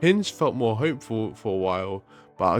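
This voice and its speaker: A man talks at a fairly low pitch and a moderate pace. Music plays in the background. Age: 20s. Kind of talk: casual personal story to camera.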